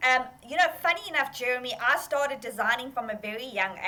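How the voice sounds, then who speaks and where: Speaking at a fairly quick pace in a South African accent, a woman sounds animated, her high-pitched voice bright and sharp in tone. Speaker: fashion entrepreneur. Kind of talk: interview.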